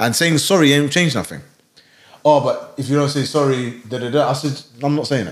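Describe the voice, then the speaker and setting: Speaking with a London accent, a man with a fairly high pitch keeps his intonation fairly even. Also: fairly quick pace. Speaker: podcast co-host. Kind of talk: casual chat. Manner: lazy, merged speech.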